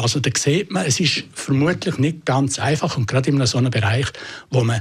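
A somewhat breathy man with a fairly high pitch speaks at a moderate pace. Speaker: journalist, interviewer. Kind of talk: critical interview.

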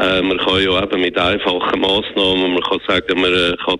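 A man's very deep, low pitch amid noticeable background noise. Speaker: economist, former central banker. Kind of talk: radio interview. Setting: phone call.

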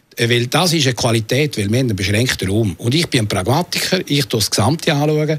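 Hardly pausing, a man at medium pitch speaks at a very fast pace in a somewhat breathy voice with lively intonation. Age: 60s. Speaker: city councillor. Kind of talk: radio interview. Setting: studio.

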